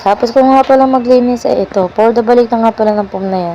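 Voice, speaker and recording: A woman speaks fairly quickly, her pitch varying in an ordinary way, as noticeable background noise continues. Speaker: mommy vlogger. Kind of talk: vlog voice-over narration. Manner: casual, chatty.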